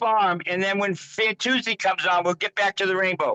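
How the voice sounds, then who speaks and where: A raised, projected male voice, high-pitched and bright and sharp, with an American accent, in a dry, close sound with no echo. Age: 70s. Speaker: Rainbow Family elder, farm owner. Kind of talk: interview answer. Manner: casual, stammering.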